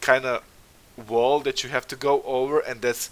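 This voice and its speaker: A man speaks with a non-native accent. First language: not English. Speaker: concept art stream host. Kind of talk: casual interview livestream. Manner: halting, many fillers.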